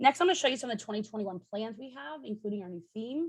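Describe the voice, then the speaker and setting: Talking very fast, a woman uses a fairly high pitch with very wide swings up and down. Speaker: charity campaign coordinator. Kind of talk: virtual training briefing. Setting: video call.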